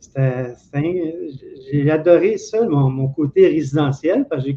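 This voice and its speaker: A man's fairly high voice, somewhat breathy, at a fairly slow pace. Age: 60s. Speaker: former telephone technician. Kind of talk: interview.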